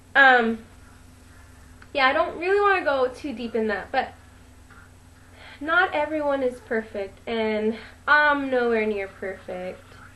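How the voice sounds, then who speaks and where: A woman's high voice with very wide pitch swings at a moderate pace. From US. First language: Spanish. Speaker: vlogger. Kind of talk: personal vlog monologue. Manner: casual, hesitant with fillers.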